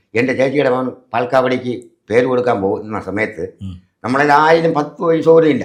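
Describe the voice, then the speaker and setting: A man with an ordinary speaking voice talks at a medium pitch with ordinary pitch variation. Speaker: auto-rickshaw driver and devotee. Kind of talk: testimony.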